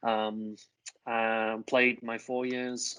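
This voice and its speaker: A man at medium pitch speaks in a monotone, flat intonation. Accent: English. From northern England, Grimsby. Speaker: college soccer coach. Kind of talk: interview. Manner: casual, with many fillers.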